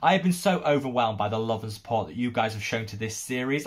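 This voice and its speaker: A man speaks at a very fast pace with lively intonation, and his voice is somewhat breathy. The background is quiet. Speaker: skincare youtuber. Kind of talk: casual vlog commentary. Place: home room.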